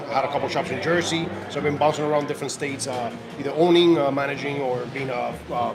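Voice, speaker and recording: A man at a very fast pace and a fairly high pitch, with fairly even intonation, audible room echo, and noticeable background noise. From Cuba, Havana. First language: Spanish. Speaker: cigar sales representative. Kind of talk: casual chat. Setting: cigar shop party with live stream.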